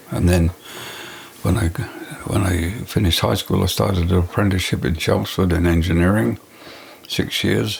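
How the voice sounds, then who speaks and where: Over noticeable background noise, a man with an English accent speaks in a very deep, low pitch with ordinary pitch variation. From England. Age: 80s+. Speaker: retired architect. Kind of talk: interview storytelling. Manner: halting with fillers.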